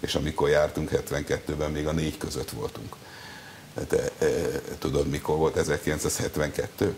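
Light background noise runs under the clip. A man is speaking. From Hungary. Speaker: sports journalist. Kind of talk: TV interview. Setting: TV studio. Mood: wry, disappointed about football. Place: studio. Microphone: lapel.

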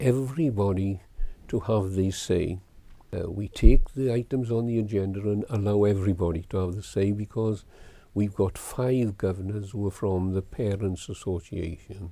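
The recording is very clean, with a silent background. A man with a South Wales Valleys accent speaks at a fairly low pitch in a dark, mellow tone. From Wales, Darran Valley. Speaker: school governors chairman. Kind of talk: oral history interview.

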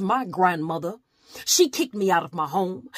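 Against a quiet background, a woman of medium pitch speaks at a moderate pace with lively intonation and an intense tone, the sound dry with no echo. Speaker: slam poet. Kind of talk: slam poetry performance. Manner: intense, defiant. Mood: pained, defiant. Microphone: phone near.

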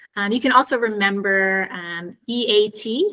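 A woman is speaking. Her tone is bright and sharp. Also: quiet background. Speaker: SEO specialist presenting a webinar. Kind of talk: webinar presentation. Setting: video call. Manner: frequent filler words. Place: home room. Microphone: webcam.

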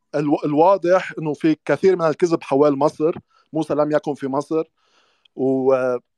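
A dark, mellow tone with fairly even intonation, in dry sound with no echo and a quiet background. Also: man, fairly high pitch for a man, moderate pace. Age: young. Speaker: Druze religious researcher; interview guest. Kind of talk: casual chat. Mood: critical, argumentative. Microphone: video call.

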